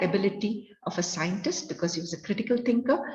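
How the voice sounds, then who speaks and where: A woman with an Indian accent speaks at a medium pitch with ordinary pitch variation, amid noticeable background noise and audible room echo. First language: Kannada. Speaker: educator, resource person. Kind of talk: lecture.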